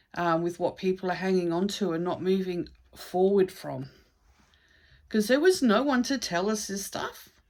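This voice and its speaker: A woman's ordinary speaking voice at medium pitch, with ordinary pitch variation, a moderate pace and a very clean recording over a silent background. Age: 60s. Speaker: psychic card reader. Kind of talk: casual spiritual talk to camera. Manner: conversational, rambling with fillers.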